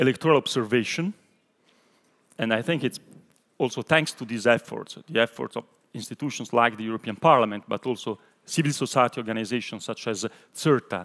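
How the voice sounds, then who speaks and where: With an Italian accent, a man of medium pitch talks at a fairly quick pace with ordinary pitch variation. He takes long, frequent pauses, and the sound is dry and close with no echo. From Italy. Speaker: European Parliament official. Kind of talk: panel discussion.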